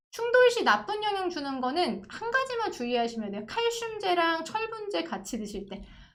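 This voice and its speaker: Her pitch extremely high and swinging very widely, a woman speaks at a fairly slow pace with audible room echo. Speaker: pharmacist. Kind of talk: online lecture with viewer Q&A. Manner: conversational, explanatory.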